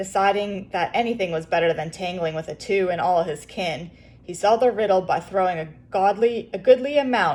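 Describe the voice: Someone reads aloud plainly, and the pitch shifts in an ordinary way.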